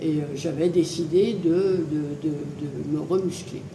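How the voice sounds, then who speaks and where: In a room with audible echo and noticeable background noise, a woman speaks at a fairly low pitch with fairly even intonation. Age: 80s+. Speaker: fitness club member. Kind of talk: testimony. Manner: hesitant, many fillers.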